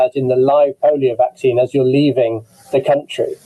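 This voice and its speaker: At a moderate pace, this speaker talks with an English accent. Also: man. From England. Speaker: immunologist, webinar moderator. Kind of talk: online medical panel discussion.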